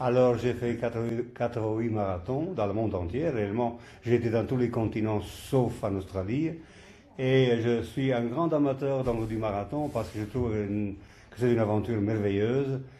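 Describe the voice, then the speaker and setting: Audible room echo surrounds a man with a dark, mellow tone, medium pitch, ordinary pitch variation and a moderate pace. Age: 80s+. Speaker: marathon organizer and veteran runner. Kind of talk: podcast interview. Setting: sports hall.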